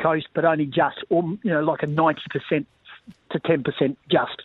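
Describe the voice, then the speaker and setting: A man speaks with an Australian accent. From Western Australia, Bunbury. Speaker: sports commentator and former football coach. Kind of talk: casual interview.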